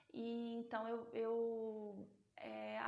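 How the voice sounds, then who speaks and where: With a strong Minas Gerais accent, a woman speaks at a fairly high pitch, and audible room echo surrounds her voice. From Brazil, interior of Minas Gerais. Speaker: sales and business speaker. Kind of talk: motivational talk.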